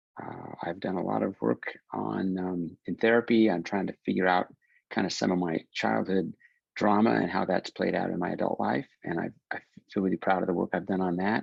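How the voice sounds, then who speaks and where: The pace is fairly quick. Vocal fry runs through the voice. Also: man. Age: 60s. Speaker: film writer and director. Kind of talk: podcast interview.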